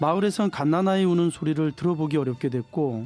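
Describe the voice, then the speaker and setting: A man speaks in a Gangwon accent at a moderate pace, his pitch fairly high. His pitch variation is ordinary, and music plays in the background. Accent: Gangneung dialect. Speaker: schoolteacher. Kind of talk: reading a personal essay on radio. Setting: live radio studio broadcast.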